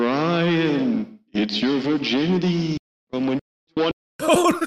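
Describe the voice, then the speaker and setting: A man's fairly high put-on character voice at a very slow pace, with a clear echo. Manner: creepy, ghostly.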